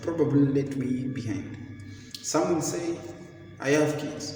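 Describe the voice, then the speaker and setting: A man speaks with a fairly high pitch. There's audible room echo and noticeable background noise. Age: 30s. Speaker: vlogger. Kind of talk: motivational talk. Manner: halting.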